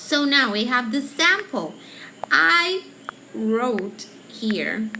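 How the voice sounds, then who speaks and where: A woman speaks at a very slow pace and a fairly high pitch with very wide pitch swings, with audible room echo and noticeable background noise. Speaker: teacher. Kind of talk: tutorial. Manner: halting.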